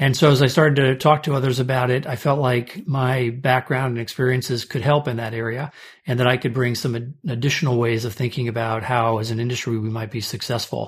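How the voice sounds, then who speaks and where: On a very clean recording with a silent background, a man with an American accent talks at a fairly quick pace in a somewhat breathy voice, with hardly any pauses. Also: medium pitch for a man, fairly even intonation. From US Midwest (St. Louis, Omaha). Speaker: restaurant trade association CEO. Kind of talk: interview.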